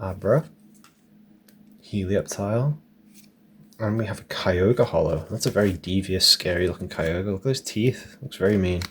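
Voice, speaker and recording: A soft-spoken, somewhat breathy man with an English accent, fairly low in pitch, with ordinary pitch variation and long, frequent pauses. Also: moderate pace. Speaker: card collector. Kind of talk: relaxing card-opening commentary.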